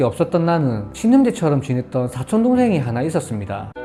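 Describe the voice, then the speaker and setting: A man's fairly high, fairly quick voice with very wide pitch swings, over music in the background. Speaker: story narrator. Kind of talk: story reading.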